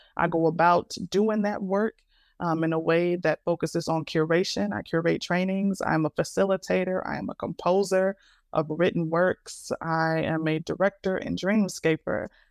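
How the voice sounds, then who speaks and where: Over a quiet background, a woman talks at a moderate pace with fairly even intonation, the sound dry and close with no echo. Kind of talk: interview conversation.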